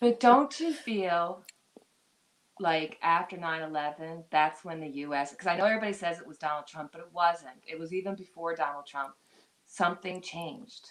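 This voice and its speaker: The speech moves at a moderate pace with ordinary pitch variation and big swings in loudness. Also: woman, fairly low pitch for a woman. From Newfoundland, Canada. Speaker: live stream guest. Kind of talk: casual chat.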